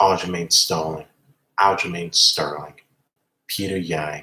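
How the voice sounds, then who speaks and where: A man speaks in a passionate tone at a fairly slow pace. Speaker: MMA commentary youtuber. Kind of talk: casual commentary monologue. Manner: passionate, aggressive; repetitive, halting restarts.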